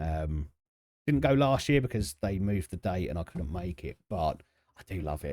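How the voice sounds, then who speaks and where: A man with a southern English accent speaks in a very deep, low voice with very wide pitch swings, on a very clean recording with a silent background. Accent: southern English, drops T's often. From South East London, England. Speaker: video game streamer. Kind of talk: live stream chat with game commentary. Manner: halting, many fillers and repetitions; casual.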